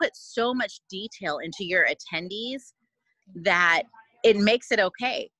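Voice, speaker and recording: A woman speaks with a Californian accent and a bright, sharp tone. The sound is dry and close, with no echo. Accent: Californian American English. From US West Coast, Oakland, California. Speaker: chef and restaurant owner. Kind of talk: interview chat. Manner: soft-spoken.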